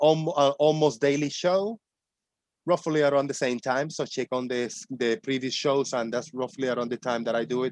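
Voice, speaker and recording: With a Spanish accent, a man speaks at a fairly high pitch with ordinary pitch variation, the sound dry and close with no echo. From Puerto Rico. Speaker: online show host, ex-flat-earther. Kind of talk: casual chat.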